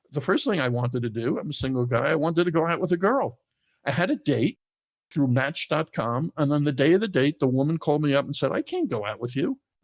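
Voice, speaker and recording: Over a quiet background, a man with a New York accent talks at a very fast pace with a fairly high pitch. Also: ordinary pitch variation, dry, close sound with no echo. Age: 60s. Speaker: entrepreneur, formerly incarcerated. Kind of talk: interview conversation.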